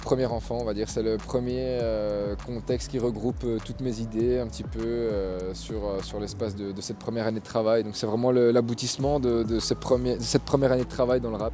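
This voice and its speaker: A man talks at a moderate pace while noticeable background noise continues behind him. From Belgium, Charleroi. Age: 20s. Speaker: rapper. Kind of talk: interview. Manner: halting.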